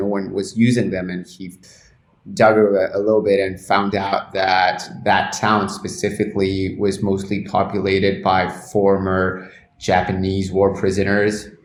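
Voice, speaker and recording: A man with a Spanish accent speaks at a fairly slow pace in a fairly low pitch. His intonation is monotone and flat, with audible room echo. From Argentina. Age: 30s. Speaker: cannabis journalist. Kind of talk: interview. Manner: frequent repetitions and false starts.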